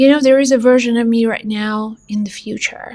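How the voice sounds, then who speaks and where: This woman speaks with fairly even intonation. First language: not English. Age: 40s. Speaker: psychic medium and spiritual teacher. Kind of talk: spiritual motivational monologue.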